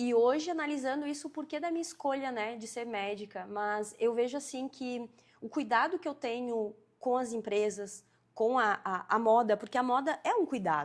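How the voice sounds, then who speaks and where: Lively intonation in a southern Brazilian accent, on a very clean recording with a silent background. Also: woman, high pitch for a woman, moderate pace. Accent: gaúcho Brazilian Portuguese. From southern Brazil, Rio Grande do Sul (Farroupilha). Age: 30s. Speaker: fashion designer and entrepreneur. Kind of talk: podcast interview.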